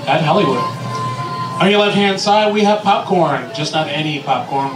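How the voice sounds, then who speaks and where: Over clear music in the background, a man speaks with ordinary pitch variation. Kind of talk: ride spiel.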